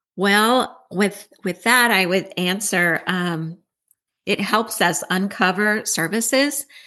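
A woman speaks at a medium pitch with a bright, sharp tone and ordinary pitch variation. Her loudness stays very even against a quiet background. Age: 60s. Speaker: networking group leader. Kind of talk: casual interview; sales pitch.

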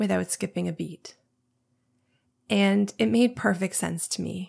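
This woman has a fairly low pitch with vocal fry and fairly even intonation. She keeps a moderate pace on a very clean recording with a silent background.

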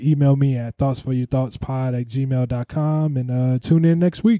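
Here is a man with an American accent and a dark, mellow tone. The sound is dry and close, with no echo. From Ohio, US. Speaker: podcast host and comedian. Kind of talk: casual chat; podcast outro.

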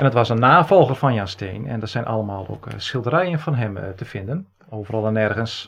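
A man's normal speaking voice, medium in pitch, with lively intonation, a fairly quick pace and hardly any pauses. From Netherlands, Friesland. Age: 40s. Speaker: podcast co-host, genealogist. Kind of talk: casual chat.

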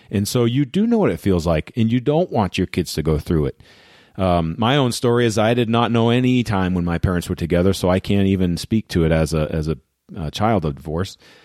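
Using a plain, everyday voice, a man speaks at a fairly quick pace and fairly low pitch with lively intonation. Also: very clean recording, silent background. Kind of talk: guided visualisation pep talk. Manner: earnest, warm, direct address to listeners.

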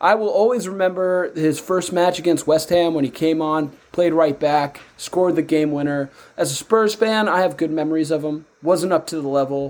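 This is an unremarkable speaking voice, a man with an American accent talking at a moderate pace, fairly high-pitched, with ordinary pitch variation. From United States. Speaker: podcast co-host. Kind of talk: casual chat.

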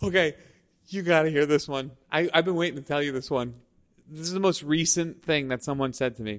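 A man with an American accent uses a normal speaking voice, fairly high in pitch with ordinary pitch variation, at a fairly quick pace. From Staten Island, New York. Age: 40s. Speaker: videographer. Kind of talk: casual chat. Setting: studio.

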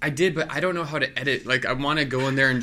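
A man rushes along at a very fast speed, his pitch shifting in an ordinary way. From Milwaukee, US Midwest. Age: 30s. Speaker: comedian and juggler. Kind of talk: casual interview chat.

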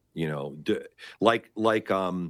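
On a very clean recording with a silent background, a man with a Canadian accent speaks with vocal fry. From Canada. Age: 50s. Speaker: Orthodox priest. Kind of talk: interview conversation. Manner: halting, many repetitions.

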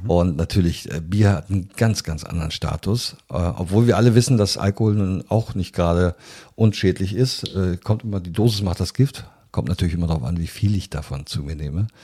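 Very clean and silent in the background, the recording captures a man with a very deep, low pitch and a dark, mellow tone, somewhat breathy and talking at a fairly quick pace. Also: ordinary pitch variation. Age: 60s. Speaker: biologist and business executive. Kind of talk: interview.

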